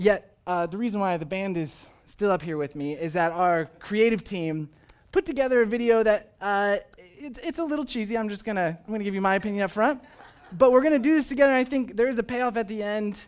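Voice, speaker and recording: With an animated tone and lively intonation, a high-pitched man speaks at a fairly quick pace on a very clean recording with a silent background. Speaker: pastor. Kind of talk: sermon. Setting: church.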